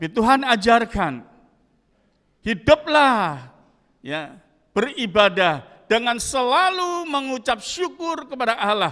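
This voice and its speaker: A man's raised, projected voice, high-pitched, at a very slow pace. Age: 70s. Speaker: pastor. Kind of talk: sermon.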